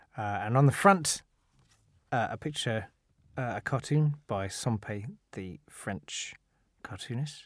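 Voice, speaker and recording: The speech moves at a very slow pace with long, frequent pauses, lively intonation and big swings in loudness. The recording is very clean, with a silent background. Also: man, medium pitch for a man. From London (Catford, south-east London). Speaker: comedian. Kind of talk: casual chat. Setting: studio.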